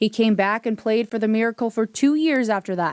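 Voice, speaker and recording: A woman with an American accent and a plain, everyday voice, fairly high in pitch, at a fairly quick pace. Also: dry, close sound with no echo, very clean recording, silent background. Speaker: TV news reporter and anchor.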